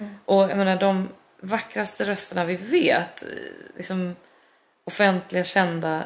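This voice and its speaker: A woman speaks at a fairly slow pace and a medium pitch. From Belgium (Brussels) and Sweden. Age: 40s. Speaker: musical theatre singer and actress. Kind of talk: casual interview chat. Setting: studio sofa with balcony door open.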